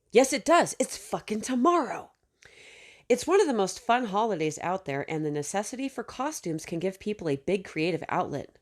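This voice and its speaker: In a very clean recording with a silent background, a woman at a medium pitch makes very wide pitch swings. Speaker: YouTuber reacting to an article. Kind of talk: reading aloud with commentary.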